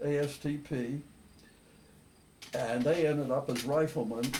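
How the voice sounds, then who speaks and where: Somewhat breathy and dark, mellow in tone, a man talks with an American accent. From Philadelphia, Pennsylvania. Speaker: war veteran. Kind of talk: interview answer.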